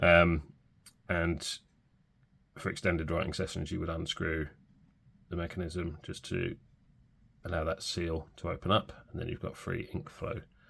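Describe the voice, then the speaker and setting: A man's very deep, low voice, somewhat breathy, at a fairly slow pace with long, frequent pauses. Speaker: fountain pen reviewer. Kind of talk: product review. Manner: subdued; hesitant, many fillers.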